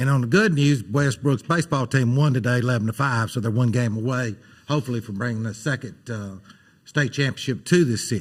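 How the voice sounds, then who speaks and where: A man with an Alabama accent speaks at a fairly quick pace and a medium pitch. His voice is somewhat breathy, with ordinary pitch variation. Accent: Southern US (Alabama). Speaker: city council member. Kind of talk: council meeting remarks. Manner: fast.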